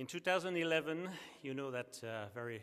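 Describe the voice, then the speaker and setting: The intonation is lively. A man delivers his words at a moderate pace. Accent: French. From France. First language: French. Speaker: sponsor company representative. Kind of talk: award ceremony speech. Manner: halting, many fillers.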